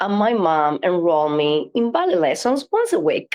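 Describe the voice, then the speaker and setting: Music plays in the background as a woman talks at a medium pitch and a fairly slow pace. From Cuba. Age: 60s. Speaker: flamenco dancer and choreographer. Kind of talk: interview.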